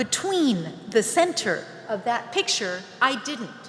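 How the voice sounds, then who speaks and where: A woman with an American accent speaks at a very slow pace, her pitch swinging very widely. There is audible room echo and noticeable background noise. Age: 60s. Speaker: space entrepreneur. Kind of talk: conference speech.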